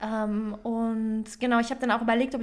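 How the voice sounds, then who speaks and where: At a moderate pace, a woman talks in an ordinary speaking voice with a fairly high pitch. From Bavaria, Germany. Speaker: podcast co-host. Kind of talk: casual chat; reading aloud.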